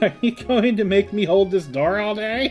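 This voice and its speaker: A man talks in a put-on character voice pitched high. Clear music plays in the background. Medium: game stream.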